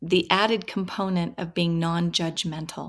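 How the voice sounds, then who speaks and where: Heard in a very clean recording with a silent background, a woman with an American accent uses a plain, everyday voice at a medium pitch and a fairly slow pace. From Washington State, US. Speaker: professor. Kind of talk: interview.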